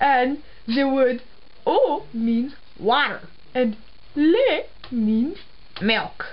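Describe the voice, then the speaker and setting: A put-on character voice, female-sounding, at a very slow pace with long, frequent pauses. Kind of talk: comedy sketch, mock language lesson.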